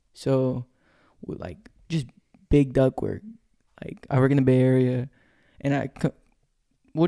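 A dark, mellow tone at a moderate pace, in an American accent. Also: man. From California, Stockton. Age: young. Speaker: sheet metal worker. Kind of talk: casual chat.

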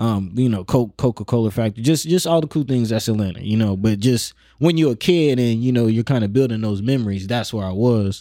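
Talking at a very fast pace, a man with an American accent has a dark, mellow tone. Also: very clean recording, silent background. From North Omaha, Nebraska, US Midwest. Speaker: rapper, producer and radio personality. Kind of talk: casual interview.

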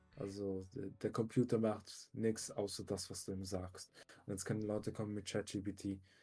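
A man speaks in a fairly low, dark, mellow tone, somewhat breathy and monotone. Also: moderate pace. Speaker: podcast co-host, works in tech. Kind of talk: casual chat.

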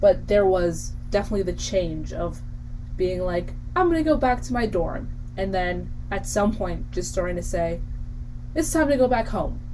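A woman at a moderate pace, with audible room echo. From Ridgewood, New Jersey. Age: young. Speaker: college radio host. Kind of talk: casual chat.

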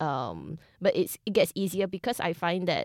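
A woman's voice with vocal fry on a very clean recording with a silent background. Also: dry, close sound with no echo. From Singapore. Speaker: professional dancer and co-host. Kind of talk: casual chat.

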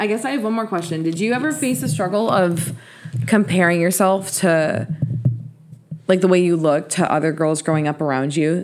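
Fairly quick speech from a woman, with noticeable background noise behind it. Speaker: podcast host. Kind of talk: casual chat.

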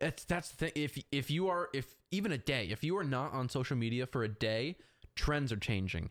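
A plain, everyday voice with lively intonation, a moderate pace and very even loudness, on a very clean recording with a silent background. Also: man, medium pitch for a man. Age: 20s. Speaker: podcast guest, aspiring filmmaker and social media enthusiast. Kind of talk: casual chat.

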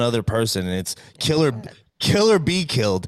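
With a New York accent, a man talks at a fairly quick pace and a medium pitch. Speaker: guest co-host from another podcast. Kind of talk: casual chat. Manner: animated.

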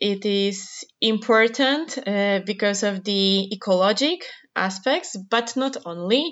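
A woman with a Polish accent, a medium pitch, ordinary pitch variation and a very slow pace. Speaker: researcher. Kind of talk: interview.

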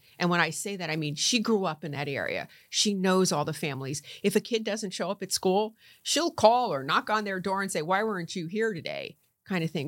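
A woman with an American accent and a plain, everyday voice, medium pitch and lively intonation, on a very clean recording with a silent background. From Connecticut (Norwalk). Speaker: county commissioner and former professional golfer. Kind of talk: interview.

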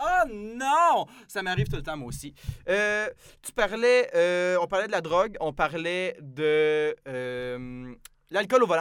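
A high-pitched man's voice at a very slow pace, with very wide pitch swings and big swings in loudness. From Quebec, Saint-Jean-sur-Richelieu near Montreal. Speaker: podcast host, student. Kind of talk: casual chat.

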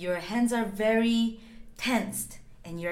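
A woman speaks at a fairly slow pace with a Korean accent. Audible echo fills the room around her. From South Korea. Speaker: dancer and choreographer. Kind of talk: guided movement instruction.

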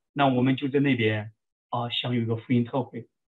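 A man's ordinary speaking voice at medium pitch, with fairly even intonation. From China, Shaanxi. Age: 40s. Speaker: army veteran and military chaplain. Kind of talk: interview testimony.

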